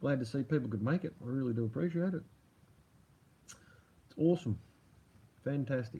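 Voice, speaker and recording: A somewhat breathy voice with an Australian accent carries a dark, mellow tone. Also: man. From Australia, Melbourne. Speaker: livestream host. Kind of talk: casual livestream chat. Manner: casual, rambling.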